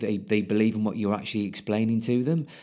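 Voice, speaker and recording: A man speaks at medium pitch in a British accent. His tone is dark and mellow. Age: 40s. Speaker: ex-military commercial director. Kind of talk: casual interview.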